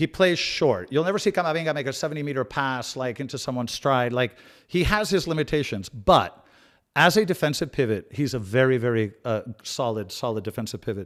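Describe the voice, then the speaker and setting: Man with an American accent and lively intonation, on a very clean recording with a silent background. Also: medium pitch for a man, fairly quick pace. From Spain and US, half life each. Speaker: football channel host. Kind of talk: live watch-along chat reading comments. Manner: casual, many fillers and repeats.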